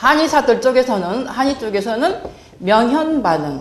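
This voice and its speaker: A woman's high voice with very wide pitch swings, amid audible room echo and noticeable background noise. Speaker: health lecturer. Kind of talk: lecture.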